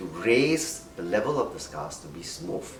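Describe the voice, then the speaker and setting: With music in the background and audible room echo, a man speaks fairly slowly as his pitch swings very widely. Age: 60s. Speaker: doctor. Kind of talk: interview.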